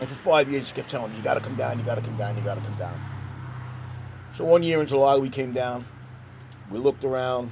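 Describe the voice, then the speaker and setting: A man with a New York accent talks at a very fast pace and medium pitch, his intonation fairly even, with long, frequent pauses and noticeable background noise. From New York, Staten Island. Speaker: interviewee, local resident. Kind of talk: street interview.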